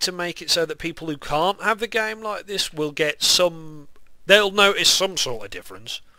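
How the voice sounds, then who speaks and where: A man's high-pitched voice, ordinary pitch variation, moderate pace. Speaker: gaming youtuber. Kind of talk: gameplay commentary. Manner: casual, rambling with hesitations.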